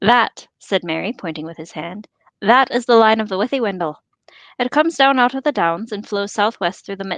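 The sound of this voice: Lively intonation in an unforced reading voice, the background quiet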